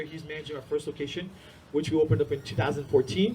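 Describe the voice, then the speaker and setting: Words tumble out at a very fast rate. Behind them, background noise is noticeable. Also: man. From India-born, raised in US from age six (New Jersey area). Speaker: martial arts school owner. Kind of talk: conference talk. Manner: casual, filler-heavy.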